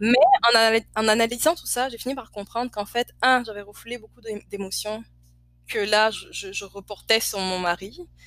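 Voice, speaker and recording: A woman's bright, sharp, fairly high voice at a moderate pace, with ordinary pitch variation and big swings in loudness. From Côte d'Ivoire. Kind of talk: casual interview.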